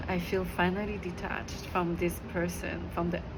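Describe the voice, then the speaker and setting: Over background music, a woman speaks at a moderate pace. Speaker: ASMR wellness channel host. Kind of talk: ASMR sleep guidance, whispered self-healing talk. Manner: whispered, gentle, soothing.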